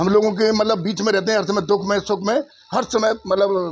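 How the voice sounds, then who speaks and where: The voice belongs to a man and sits high in pitch. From Uttar Pradesh, Mathura area. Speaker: villager interviewed. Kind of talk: street interview. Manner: halting, with fillers.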